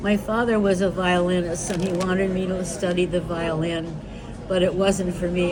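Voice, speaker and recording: A woman with an American accent and a fairly low pitch talks at a moderate pace in a monotone, flat intonation, with audible room echo and noticeable background noise. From New York. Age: 90s. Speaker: retired composer. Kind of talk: interview. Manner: halting.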